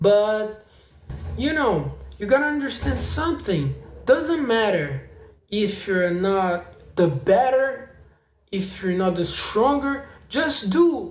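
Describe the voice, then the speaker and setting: A man's high-pitched, very slow speech in a non-native accent, with audible room echo. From South America. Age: 20s. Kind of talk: casual vlog testimony. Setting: home apartment. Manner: halting.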